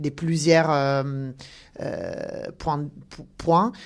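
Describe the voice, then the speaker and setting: Very slowly, a woman speaks in a very deep, low voice with fairly even intonation on a very clean recording with a silent background. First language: not French (speaking French). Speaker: talent acquisition director. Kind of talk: podcast interview. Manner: halting, many hesitations.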